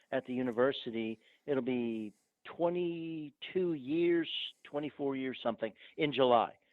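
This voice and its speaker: A man with an American accent talks at a moderate speed. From northern US. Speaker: archaeologist. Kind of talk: podcast interview.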